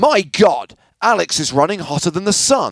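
The man's pitch swings very widely as he talks at a moderate pace. The sound is dry and close, with no echo. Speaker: poker podcast co-host. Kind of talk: casual chat.

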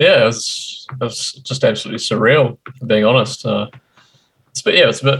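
Speech at a moderate pace, broken up by long, frequent pauses. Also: man. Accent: New Zealand. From New Zealand. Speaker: poker streamer. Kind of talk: interview.

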